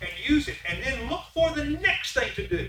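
His delivery comes at a moderate pace. Behind him, background noise is noticeable. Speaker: preacher. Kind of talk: sermon. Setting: church. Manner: animated.

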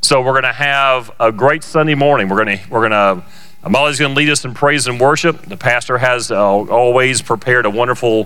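In an unremarkable speaking voice, a man at medium pitch talks at a fairly quick pace with ordinary pitch variation. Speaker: service host, church leader. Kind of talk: casual welcome and announcements. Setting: church, live stream. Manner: jovial, joking.

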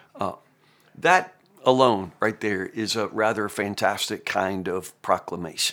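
With a Southern US accent, a man speaks at a fairly slow pace, his fairly low pitch carrying fairly even intonation. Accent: US South. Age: 50s. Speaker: pastor. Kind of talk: Bible teaching. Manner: casual, conversational.

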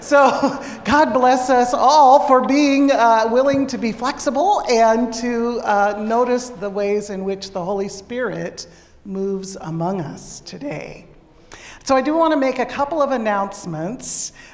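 A woman talks in a fairly high pitch while noticeable noise sounds in the background. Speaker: pastor. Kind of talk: worship service announcements. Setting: church. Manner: casual.

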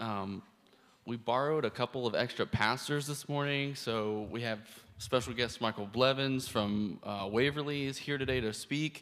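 Here a man has a plain, everyday voice at medium pitch. His intonation is fairly even, and his pace is moderate. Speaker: church host. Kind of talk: church announcements. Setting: church.

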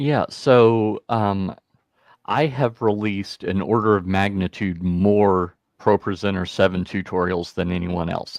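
A man talks at a fairly slow pace with fairly low pitch. His pitch varies in an ordinary way. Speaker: church tech trainer. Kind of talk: casual interview. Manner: slow talker.

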